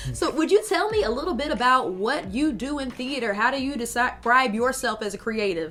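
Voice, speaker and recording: Amid noticeable background noise, a woman with a high voice talks fairly quickly with hardly any pauses, her pitch swinging very widely. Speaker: interview host. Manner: friendly, conversational.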